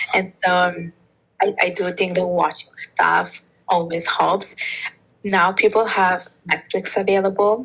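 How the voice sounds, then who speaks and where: A woman at medium pitch with a slight Italian accent, a fairly slow pace, long, frequent pauses, very even loudness, and monotone, flat intonation. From Bangladesh. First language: Bengali. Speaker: author and podcast host, polyglot. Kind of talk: interview conversation.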